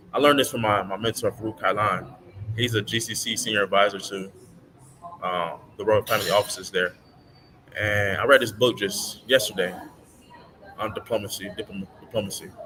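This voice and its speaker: Fairly even intonation and a fairly quick pace mark this voice with an American accent. Long, frequent pauses break it up, and there is noticeable background noise. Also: man, fairly low pitch for a man. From US Midwest, Madison, Wisconsin. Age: 30s. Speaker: livestreamer, business networker. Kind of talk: live stream monologue. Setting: live stream. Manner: halting, repetitive.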